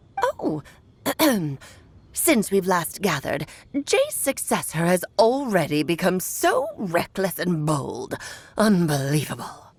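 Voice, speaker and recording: In a put-on character voice, a woman speaks at a medium pitch. Her pace is fairly slow, with long, frequent pauses. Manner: imperious, scolding.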